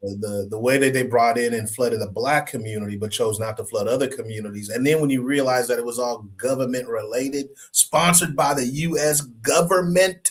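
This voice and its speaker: A man with an American accent talks at a fairly quick pace with hardly any pauses, his pitch medium and his pitch variation ordinary, while music plays in the background. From Oakland and Fremont, California, US. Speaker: podcast co-host. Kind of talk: casual conversation.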